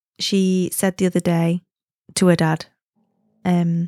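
A slow, dark, mellow voice with little pitch movement and a dry, close sound with no echo, in a very clean recording with a silent background. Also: woman, fairly low pitch for a woman.

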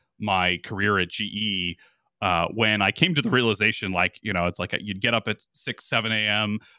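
A man talks at a moderate pace in a fairly low pitch, with a bright, sharp tone that is also clear and smooth. The sound is dry and close, with no echo. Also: ordinary pitch variation.

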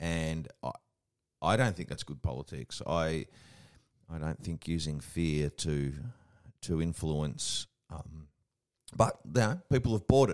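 Pausing long and often, a man with a very deep, low pitch talks at a fairly slow pace with lively intonation. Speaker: podcast co-host. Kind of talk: casual podcast chat. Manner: jovial, joking.

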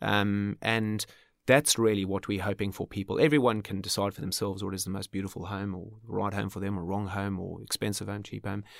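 With an Australian accent, a man talks fairly quickly at a fairly low pitch and fairly even intonation. The recording is very clean, dry and close with no echo, over a silent background. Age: 40s. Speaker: architect. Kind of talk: interview.

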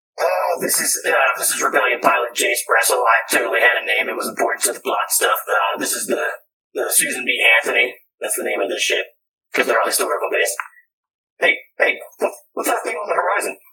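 Using a put-on character voice, a man talks at a fairly quick pace. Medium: actual play. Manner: casual, rambling, clueless.

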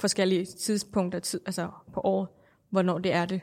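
The recording is very clean, with a silent background. A woman speaks at a fairly slow pace with a Thai accent. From Thailand. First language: Thai (speaking Danish). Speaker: Buddhist interviewee. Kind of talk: interview. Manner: halting.

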